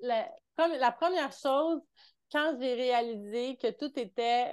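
Speaking in a Quebec accent, a woman uses a high pitch with ordinary pitch variation. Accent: Québécois French. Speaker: mentor and entrepreneur. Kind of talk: casual interview.

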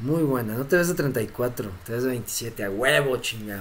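Speaking at a fairly slow pace, a man talks with a Mexican accent. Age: 30s. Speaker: crypto streamer. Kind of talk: live stream Q&A. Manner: casual, laughing often.

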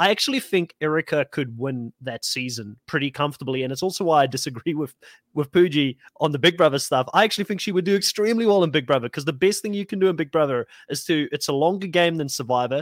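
The man's voice sits fairly high, with lively intonation. He speaks very fast, and the sound is dry and close with no echo. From South Africa. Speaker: reality TV podcast host. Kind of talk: casual group discussion.

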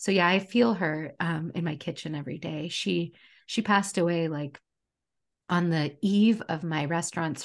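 With a normal speaking voice, a woman talks at a moderate pace and fairly low pitch, with ordinary pitch variation and a quiet background. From United States. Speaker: chef and food writer. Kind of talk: casual interview chat.

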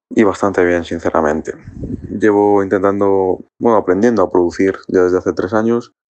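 This man talks at a fairly quick pace in a fairly low pitch. His intonation stays fairly even, and it is an ordinary speaking voice. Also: very even loudness. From Spain, Ávila. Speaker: DJ and producer. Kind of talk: recorded message.

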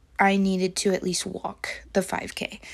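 Against a silent background in a very clean recording, a woman talks at a medium pitch. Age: 20s. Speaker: podcast host. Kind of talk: personal diary-style monologue. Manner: casual with frequent fillers and laughter.

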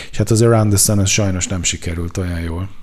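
A man talks at a very fast pace. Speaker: culture journalist. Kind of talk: casual chat about music. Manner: halting.

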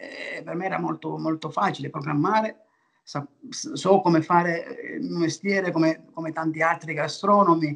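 A man speaks at a fairly slow pace. His pitch is high, with ordinary variation. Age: 60s. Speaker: restaurateur. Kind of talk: interview. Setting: video call. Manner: halting.

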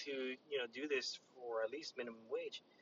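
An unremarkable speaking voice from a man, medium in pitch and ordinary in pitch variation. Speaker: podcast co-host. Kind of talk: casual chat.

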